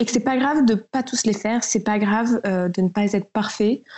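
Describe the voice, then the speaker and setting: Her pitch fairly high and its variation ordinary, a woman speaks at a fairly slow pace. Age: 20s. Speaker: eco-lifestyle blogger. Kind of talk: casual interview chat. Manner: hesitant, frequent fillers.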